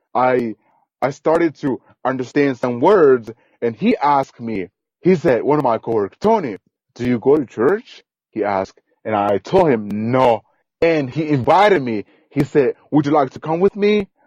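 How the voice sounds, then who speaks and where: This man speaks with a Guatemalan accent and a medium pitch. His intonation is lively, his pace moderate, and the sound dry and close with no echo. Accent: Guatemalan non-native English. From rural Guatemala. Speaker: podcast guest, immigrant. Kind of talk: interview, personal story. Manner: repetitive, non-native phrasing.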